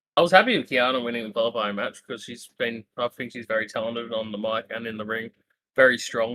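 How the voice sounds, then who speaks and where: Speaking at a fairly quick pace with an Australian accent, a man with a medium pitch has a bright, sharp tone in a dry, close recording with no echo. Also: big swings in loudness. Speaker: wrestling podcast co-host. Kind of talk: casual chat.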